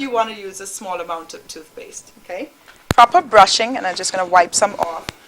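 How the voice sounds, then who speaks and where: Amid noticeable background noise, a woman with a Caribbean accent speaks at a fairly quick pace in a medium pitch, with ordinary pitch variation and big swings in loudness. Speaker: dentist, dental school teacher. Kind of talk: educational demonstration on a talk show.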